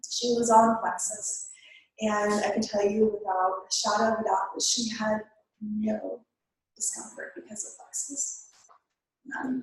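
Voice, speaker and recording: A woman's fairly high, somewhat breathy voice at a fairly slow pace, with long, frequent pauses, big swings in loudness and fairly even intonation. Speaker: network marketing distributor. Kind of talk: testimony. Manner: halting.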